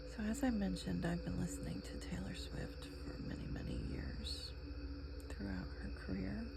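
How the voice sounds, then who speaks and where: A soft-spoken voice with an American accent moves at a moderate pace over noticeable background noise. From New England, USA. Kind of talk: ASMR soft-spoken chatter while crafting. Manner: soft-spoken, relaxing.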